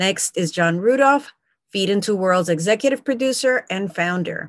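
A woman talks at a moderate pace and medium pitch, with ordinary pitch variation. Hers is a plain, everyday voice. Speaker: podcast host and panel moderator. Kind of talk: moderated panel discussion. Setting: video call.

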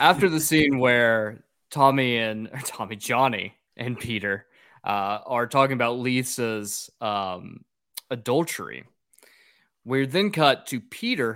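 An unremarkable speaking voice at a fairly slow pace, with ordinary pitch variation, big swings in loudness, and a very clean recording over a silent background. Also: man. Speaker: podcast host. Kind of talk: casual comedic podcast banter.

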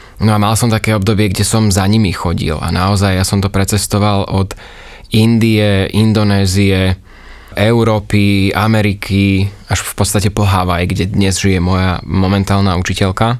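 Monotone, flat intonation from a man with a fairly low pitch at a moderate pace. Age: 30s. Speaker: yoga teacher. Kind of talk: casual interview. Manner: cheerful.

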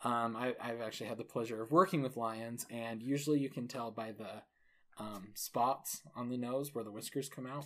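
A man's unremarkable speaking voice, pitched at a medium level, with fairly even intonation and a moderate pace. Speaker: podcast co-host. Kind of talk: casual chat.

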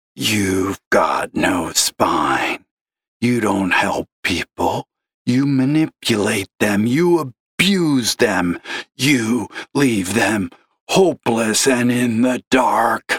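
A man does a put-on character voice, growling and gravelly at medium pitch, with lively intonation and a very slow pace. The sound is dry and close with no echo. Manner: accusing.

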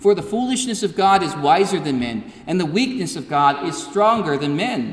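Moderate pace with hardly any pauses, over noticeable background noise. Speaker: preacher. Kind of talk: sermon. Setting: church. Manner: earnest, declamatory pulpit delivery.

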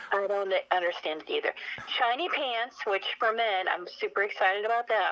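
Over noticeable background noise, a woman with an American accent speaks at a moderate pace and fairly high pitch with lively intonation. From US Pacific Northwest, Spokane, Washington. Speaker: fashion commentator and magazine publisher. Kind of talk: radio interview. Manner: animated.

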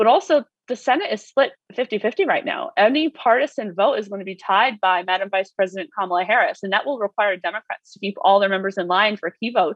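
Very fast and lively, a woman talks in a fairly high pitch. She has an American accent. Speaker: policy advocate. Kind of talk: professional interview. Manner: fast talker.

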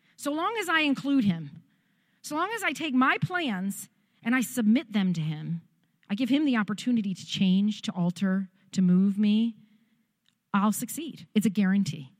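Somewhat breathy and animated, a woman talks at a moderate pace with very wide pitch swings. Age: 40s. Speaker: pastor. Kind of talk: sermon.

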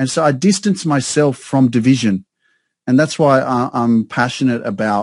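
A man with an Australian accent speaks at medium pitch and a moderate pace. His pitch varies in an ordinary way, and the background is quiet. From Sydney, Australia. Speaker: success coach. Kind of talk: casual chat. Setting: video call.

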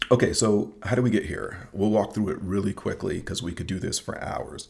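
Somewhat breathy, a man speaks at a fairly low pitch and a fairly quick pace with ordinary pitch variation. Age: 40s. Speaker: podcast host, father. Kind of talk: casual chat.

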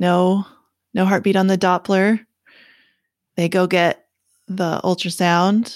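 A woman of medium pitch with a Canadian accent is heard in a dry, close sound with no echo on a very clean recording with a silent background. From Canada. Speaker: life coach. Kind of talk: interview.

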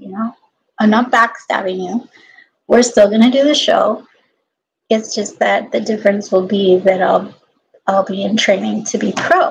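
The speaker leaves long, frequent pauses and sounds somewhat breathy. Pitch varies in an ordinary way. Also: woman. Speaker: aspiring professional dancer and fitness instructor. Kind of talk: casual solo vlog monologue. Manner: rambling, many fillers.

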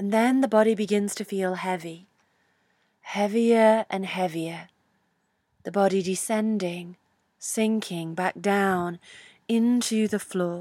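A woman with a British accent speaks at a very slow pace with long, frequent pauses, her medium pitch, fairly even intonation and dark, mellow, gentle, soothing tone captured in a very clean recording with a silent background. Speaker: yoga teacher. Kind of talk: guided meditation. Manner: slow, soothing, calm; gentle, with long pauses.

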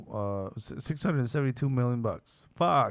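In a very clean recording with a silent background, a man uses an ordinary speaking voice at medium pitch with ordinary pitch variation. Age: 40s. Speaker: podcast host. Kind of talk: casual chat.

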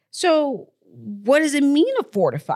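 Her high pitch carries an animated tone as this woman speaks with lively intonation. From born in Texas, raised elsewhere in the US. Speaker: podcast host and motivational speaker. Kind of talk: motivational monologue.

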